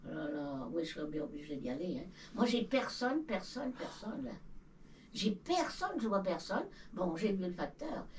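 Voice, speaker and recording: A woman with a medium pitch talks at a moderate pace, her pitch swinging very widely. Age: 90s. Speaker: elderly villager. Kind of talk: casual chat. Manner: halting.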